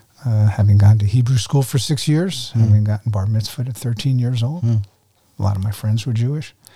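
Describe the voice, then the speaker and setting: A man with an American accent talks at a fairly quick pace, his medium pitch showing ordinary variation. His tone is dark and mellow, and somewhat breathy. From New Jersey, US. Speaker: former ministry director and guest lecturer. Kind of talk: testimony.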